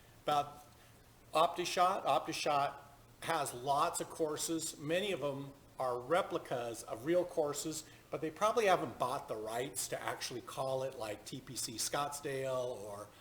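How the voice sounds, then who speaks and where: A man's unremarkable speaking voice, fairly high in pitch, with ordinary pitch variation at a moderate pace. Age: 50s. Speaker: golf simulator streamer. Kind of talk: live gameplay tutorial. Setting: home golf simulator booth.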